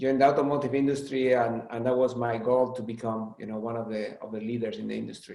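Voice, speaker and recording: A man's medium-pitched voice in a Spanish accent, very fast and flat in intonation, with hardly any pauses. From Spain. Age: 40s. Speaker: automotive executive. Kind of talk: interview.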